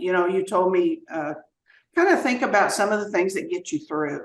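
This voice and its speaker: The speaker has a Southern US accent. The intonation is lively. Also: woman. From US South. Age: 70s. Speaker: retired teacher and former mayor. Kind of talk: podcast interview. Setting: podcast.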